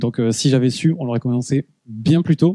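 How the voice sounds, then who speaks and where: A man talks at a fairly quick pace with ordinary pitch variation, the sound dry and close with no echo. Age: 30s. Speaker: product marketing director. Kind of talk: conference talk. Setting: stage with audience. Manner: hesitant, many fillers.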